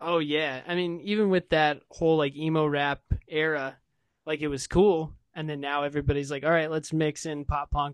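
With an American accent and an ordinary speaking voice, a man of fairly high pitch talks at a moderate pace, his loudness swinging widely. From Des Moines, Iowa. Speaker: podcaster. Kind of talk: casual chat. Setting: video call.

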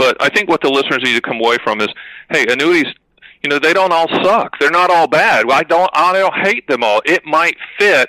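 In a normal speaking voice, a fairly high-pitched man talks at a fairly quick pace with lively intonation and very even loudness, and the sound is dry and close with no echo. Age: 50s. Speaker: annuity agent and author. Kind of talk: podcast interview.

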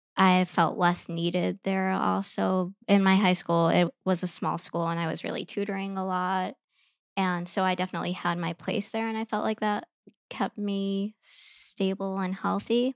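The recording is very clean, with a silent background. A woman with a Midwestern accent speaks at a medium pitch and moderate pace, using fairly even intonation. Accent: American Midwest. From US Midwest, Chicago. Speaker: yoga teacher and eating disorder survivor. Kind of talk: personal testimony interview.

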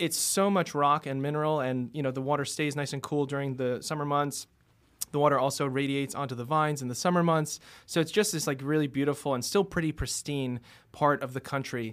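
A man speaks with a normal speaking voice at a fairly high pitch and a fairly quick pace. His intonation is fairly even, and the recording is very clean with a silent background. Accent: American. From New York City, Queens. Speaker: wine director. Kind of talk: casual chat.

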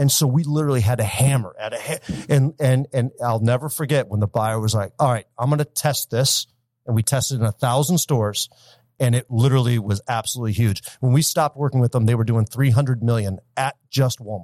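A man with a US Midwestern accent speaks at medium pitch and a fairly quick pace. The recording is very clean with a silent background, and the sound is dry and close with no echo. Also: ordinary pitch variation. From Michigan, US (Detroit area). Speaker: marketing company founder. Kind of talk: interview.

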